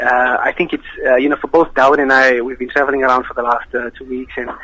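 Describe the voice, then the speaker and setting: A man with a South African accent talks at a fairly quick pace over noticeable background noise. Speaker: nasheed singer. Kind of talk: radio interview.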